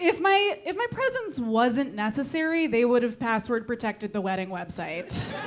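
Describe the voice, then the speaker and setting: Speaking at a moderate pace with hardly any pauses, a woman uses a high pitch with very wide swings, in a Connecticut accent. Noticeable background noise runs under her voice. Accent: Connecticut accent, sounds condescending. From Connecticut, New England. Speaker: stand-up comedian. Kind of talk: stand-up. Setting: comedy club stage with audience. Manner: insincere-sounding, condescending tone; halting with fillers.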